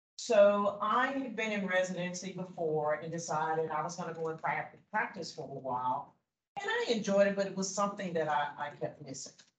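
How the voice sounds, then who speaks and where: Speaking at a fairly quick pace, a woman uses ordinary pitch variation. Audible room echo surrounds her voice. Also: medium pitch for a woman. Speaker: physician. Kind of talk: personal testimony to a class. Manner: loud. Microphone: no microphone.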